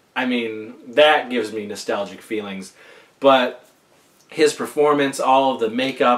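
At a fairly slow pace, a man talks in a normal speaking voice with medium pitch and fairly even intonation. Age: 40s. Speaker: podcast host. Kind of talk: casual chat.

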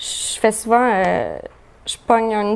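This woman's intonation stays monotone and flat. She speaks without much rise or fall. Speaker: pop rock musician. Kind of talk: casual chat.

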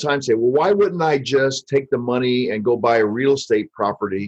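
A man with a medium pitch and an American accent, an unremarkable speaking voice at a moderate pace with ordinary pitch variation. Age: 50s. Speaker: financial advisor. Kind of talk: podcast interview.

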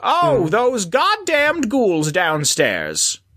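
A put-on character voice swings very widely in pitch, sitting fairly high. The pace is very slow. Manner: sneering, contemptuous.

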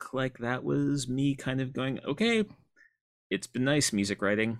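In an American accent, a man with an unremarkable speaking voice talks at a moderate pace, medium in pitch with ordinary pitch variation. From upstate New York. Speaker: comics writer and critic. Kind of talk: interview.

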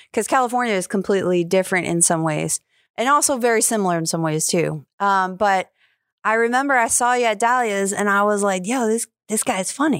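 A woman with an American accent has an unremarkable speaking voice at a medium pitch, talking fairly quickly with lively intonation and very even loudness on a very clean recording with a silent background. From New York. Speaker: podcast host and stand-up comedian. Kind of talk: casual chat.

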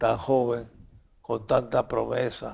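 A man is speaking. His pace is very slow. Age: 90s. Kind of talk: interview about his book.

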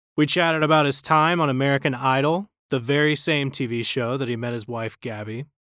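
Using a normal speaking voice, a man pitched fairly high moves at a fairly quick pace with ordinary pitch variation. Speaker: podcast host. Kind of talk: casual interview chat.

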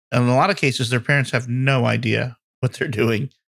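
Vocal fry, fairly even intonation and a fairly quick pace. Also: man. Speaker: podcast co-host. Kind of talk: casual chat.

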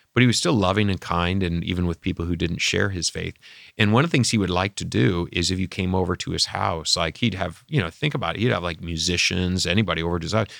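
With an American accent, a man speaks very fast with hardly any pauses. His pitch is very deep and low, with ordinary variation. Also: very clean recording, silent background. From Michigan. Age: 50s. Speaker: pastor. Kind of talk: casual chat.

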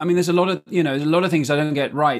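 The speaker has a southern English accent, heard in a very clean recording with a silent background. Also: man. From southern England (Surrey). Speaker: priest and jazz musician. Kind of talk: interview testimony.

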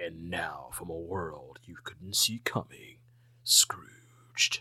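In a put-on character voice, a man talks at a very slow pace with a very deep, low pitch. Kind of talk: 1980s movie trailer narration.

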